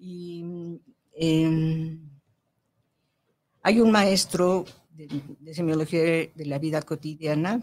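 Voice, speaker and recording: Very slowly, with long, frequent pauses, a woman speaks in a fairly low voice with fairly even intonation and big swings in loudness. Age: 70s. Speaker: spiritual growth teacher. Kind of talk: interview. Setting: radio studio. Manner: halting.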